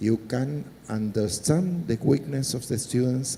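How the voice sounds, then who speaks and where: A man's somewhat breathy, dark and mellow voice at a medium pitch, with lively intonation and a fairly slow pace. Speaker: government technology official. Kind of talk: panel discussion.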